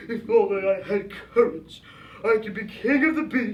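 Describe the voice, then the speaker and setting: Someone puts on a character voice at a fairly high pitch. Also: moderate pace. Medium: stage play.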